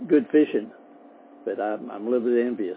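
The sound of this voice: A man talks with lively intonation in a fairly low voice that carries a slightly husky edge.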